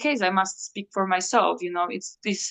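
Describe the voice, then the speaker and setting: A woman speaks with a Slovak accent. Her pitch is medium. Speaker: coach on emotional healing. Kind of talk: interview. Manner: halting, many fillers and restarts.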